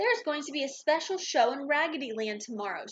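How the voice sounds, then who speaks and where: A woman's put-on character voice, high-pitched and very fast. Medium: read story.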